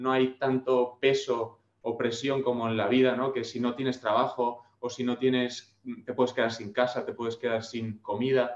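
A man at medium pitch, with an ordinary speaking voice. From Spain, Alicante (Dénia). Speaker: personal trainer. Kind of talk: interview.

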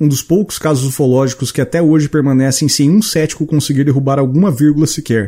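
In a very clean recording with a silent background, a man talks very fast at a fairly high pitch, somewhat breathy with a dark, mellow tone, ordinary pitch variation and very even loudness. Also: hardly any pauses. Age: 30s. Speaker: podcast host. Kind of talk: casual chat.

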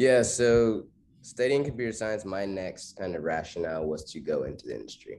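A man with an American accent speaks at a moderate pace in a low voice with ordinary pitch variation and a slightly mellow tone.

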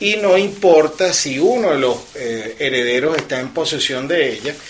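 A man with a fairly high pitch speaks slowly, with lively intonation. Noticeable background noise and audible room echo are present. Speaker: lawyer. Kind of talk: radio talk show.

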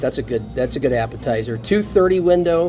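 Noticeable background noise is present in this clip. Through it, a man talks with lively intonation. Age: 40s. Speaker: sports radio host. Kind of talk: casual chat.

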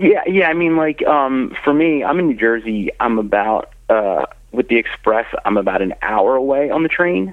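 A man with a plain, everyday voice speaks at a moderate pace in a fairly high pitch, his intonation lively, his loudness very even, and hardly any pauses. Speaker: comedian and author. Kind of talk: casual interview chat. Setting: phone or video call.

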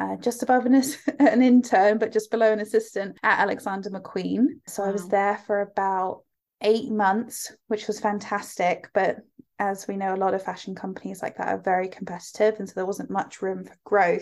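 This woman has a medium pitch and an English accent. Her intonation is fairly even and her pace moderate. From UK. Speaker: fashion school director. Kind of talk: interview conversation.

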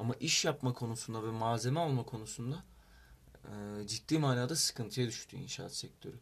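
A man's somewhat breathy voice, medium in pitch with ordinary variation, moves at a fairly quick pace. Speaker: student club vice president. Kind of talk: casual chat.

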